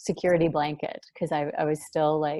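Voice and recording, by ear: A soft-spoken woman's low-pitched voice, dark and mellow in tone, at a fairly quick pace with little pitch movement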